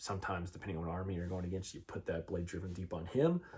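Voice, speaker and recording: Very deep and low in pitch, a man's somewhat breathy voice sits on a very clean recording with a silent background. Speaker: tabletop wargaming youtuber. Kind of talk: casual tutorial. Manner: fast.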